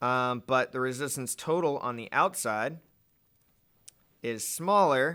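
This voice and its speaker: A man speaks at a very slow pace in a bright, sharp tone at medium pitch with ordinary pitch variation, on a very clean recording with a silent background. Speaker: physics teacher. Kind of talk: tutorial. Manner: casual, filler words.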